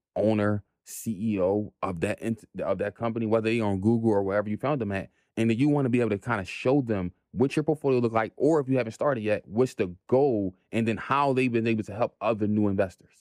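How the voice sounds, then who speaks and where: Against a quiet background, a man speaks fairly quickly with hardly any pauses. His pitch is medium, with ordinary variation. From North Philadelphia, US. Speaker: real estate investor. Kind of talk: casual interview.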